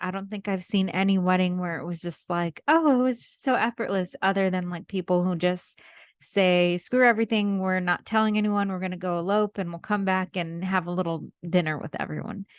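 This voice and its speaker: A woman at medium pitch, fairly quick pace and ordinary pitch variation, with a dry, close sound, no echo and a quiet background. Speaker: wedding photographer. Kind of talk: podcast monologue. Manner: casual.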